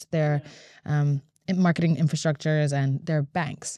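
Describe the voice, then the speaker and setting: A woman talks at a fairly quick pace in a very deep, low pitch with a dark, mellow tone and fairly even intonation. The sound is dry with no echo, and the background is quiet. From Latvia. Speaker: singer-songwriter; guest. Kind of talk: interview. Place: studio. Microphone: studio mic.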